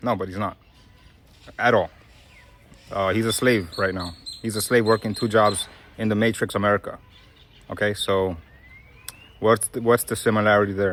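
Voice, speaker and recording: A man with a New York accent, fairly low in pitch, at a moderate pace with long, frequent pauses and monotone, flat intonation, over music in the background. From Brooklyn, New York. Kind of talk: casual talk to camera.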